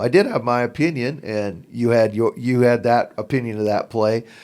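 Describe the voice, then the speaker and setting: The speaker has an American accent and an ordinary speaking voice, talking at a moderate pace with ordinary pitch variation. The recording is very clean, with a silent background. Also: man. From southern Oregon, US. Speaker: basketball podcaster. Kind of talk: podcast interview.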